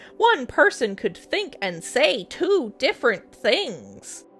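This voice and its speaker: Over faint music in the background, a female-sounding put-on character voice takes a pompous tone at a fairly slow pace. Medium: read story. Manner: pompous, argumentative.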